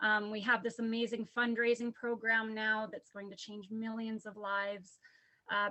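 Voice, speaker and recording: Shaky and bright with a sharp tone, a woman's fairly high voice moves at a moderate pace in monotone, flat intonation. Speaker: business associate sharing event takeaways. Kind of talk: prepared testimony. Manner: shaky voice; reading from notes.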